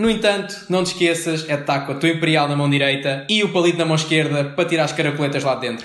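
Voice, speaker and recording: His pitch sits fairly high and varies in an ordinary way. The man speaks very fast. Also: hardly any pauses. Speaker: podcast co-host. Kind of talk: comedic scripted banter.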